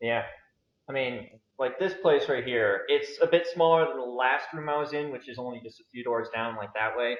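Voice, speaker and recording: In a plain, everyday voice, a man with an American accent speaks at a moderate pace and medium pitch, with ordinary pitch variation and big swings in loudness. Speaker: YouTuber interviewer. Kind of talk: interview. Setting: video call.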